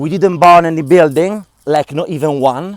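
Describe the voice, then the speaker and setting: A man with a fairly high voice and a strong non-native accent. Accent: strong foreign. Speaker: vlogger and activist. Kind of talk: casual vlog monologue. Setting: outdoors.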